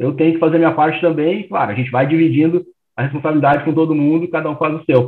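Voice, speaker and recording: A man's voice, fairly high in pitch. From Rio Grande do Sul, Porto Alegre. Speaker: startup founder. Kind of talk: interview.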